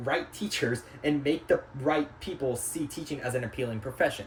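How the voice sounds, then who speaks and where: Noticeable background noise is present. A man speaks at a fairly quick pace. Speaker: student. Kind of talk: class presentation. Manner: fast; halting.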